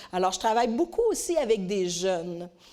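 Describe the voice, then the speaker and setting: A woman with a Quebec accent speaks at a moderate pace in a dark, mellow tone. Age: 60s. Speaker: conference speaker. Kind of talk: talk at a women's conference.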